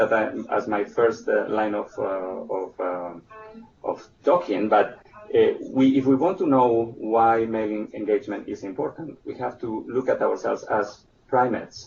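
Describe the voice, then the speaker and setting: A man speaks with a Spanish accent. There is music in the background. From Spain. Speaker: presenter on early childhood development. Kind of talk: webinar presentation. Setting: online webinar. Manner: halting, many fillers and restarts.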